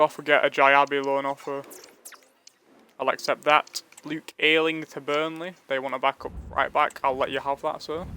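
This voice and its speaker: In a Yorkshire accent, a man with a bright, sharp, fairly high-pitched voice speaks at a moderate pace with monotone, flat intonation. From northern England (Leeds). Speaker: gaming streamer. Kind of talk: live gameplay commentary. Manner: casual, chatty.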